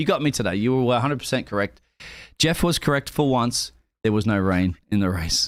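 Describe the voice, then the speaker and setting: On a very clean recording with a silent background, a man speaks at a fairly quick pace, his loudness very even. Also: medium pitch for a man, lively intonation. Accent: Australian. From Australia. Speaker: sim racing stream caster. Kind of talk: live stream commentary and post-race interview.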